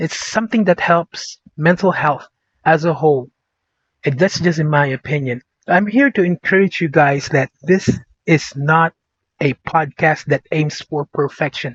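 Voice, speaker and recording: In a provincial Filipino accent, a man with a fairly high pitch speaks at a fairly slow pace. His pitch varies in an ordinary way. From Philippines, born Vigan, raised Davao City. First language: Ilocano / Bisaya. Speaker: podcast host. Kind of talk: casual vlog monologue. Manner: animated; hesitant, with fillers and repetitions.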